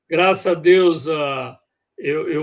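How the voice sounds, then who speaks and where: A man talks with ordinary pitch variation. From Brazil, Rio Grande do Sul (Casca, Serra Gaúcha). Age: 60s. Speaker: guest on regional culture show. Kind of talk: interview, life story. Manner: halting, many fillers.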